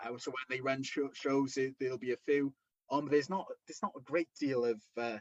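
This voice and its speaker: With a strong Welsh accent, a man talks at a fairly quick pace using ordinary pitch variation. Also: medium pitch for a man. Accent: thick Welsh. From Wales. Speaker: professional wrestler and promoter. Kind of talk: interview. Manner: halting, many repetitions.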